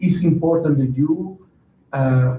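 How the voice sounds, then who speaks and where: In a Spanish accent, a man speaks at a moderate pace. His voice is somewhat breathy. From Venezuela. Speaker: county council member. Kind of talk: council meeting report. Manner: halting, many fillers and repeats.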